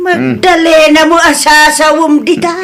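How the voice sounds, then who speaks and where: A high, put-on character voice speaks at a fairly slow pace with audible echo. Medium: audio drama. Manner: casual, drawn-out "mm" fillers.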